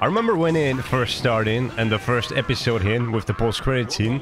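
A man's voice with ordinary pitch variation, dry sound with no echo, and noticeable background noise. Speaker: reaction youtuber. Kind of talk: casual reaction commentary. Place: home room. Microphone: studio mic.

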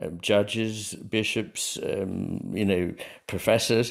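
A man with a British accent, fairly low in pitch, fairly slow and fairly even in intonation, against a quiet background. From England. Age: 60s. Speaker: psychiatrist and author; interview guest. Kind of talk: interview conversation. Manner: measured, hesitant with frequent fillers. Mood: calm, reflective. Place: home room.

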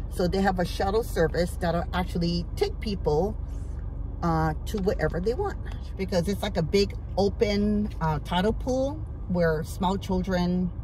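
A woman at a fairly slow pace, dry sound with no echo, light background noise. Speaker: lifestyle vlogger. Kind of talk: casual vlog chat. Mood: relaxed, fond reminiscing. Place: car. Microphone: phone near.

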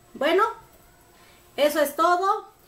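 A woman with a Mexican accent, very slow, with lively intonation. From Mexico. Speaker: embroidery group leader. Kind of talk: tutorial. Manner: casual, rambling self-corrections. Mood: firm, admonishing but calm. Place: home room. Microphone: camera far.

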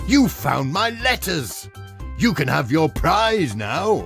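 Faint music plays behind a man doing a put-on character voice, slow and fairly high-pitched, with a fairly bright tone, vocal fry and big pitch swings.

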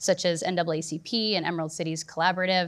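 A woman with a plain, everyday voice speaks at a fairly low pitch and a moderate pace. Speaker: panelist. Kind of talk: panel discussion answer. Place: stage. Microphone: lapel.

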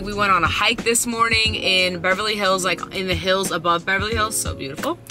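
A woman talks at a moderate pace. The sound is dry with no echo, and faint music plays in the background. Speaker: vlogger. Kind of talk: casual vlog chat. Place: car. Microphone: phone near.

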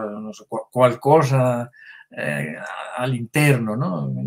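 Against a quiet background, the speaker goes at a fairly slow pace with a Spanish accent. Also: man. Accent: Spanish accent in Italian, rusty. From Spain. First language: Spanish (speaking Italian). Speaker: writer and translator; guest. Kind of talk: online author interview. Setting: online video call. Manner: halting, many repetitions. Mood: reflective, thoughtful. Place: home room. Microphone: webcam.

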